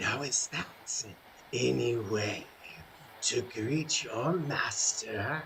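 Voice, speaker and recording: In a put-on character voice, a man speaks very slowly at a medium pitch against clear background noise. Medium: actual play. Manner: smooth, condescending, coldly courteous.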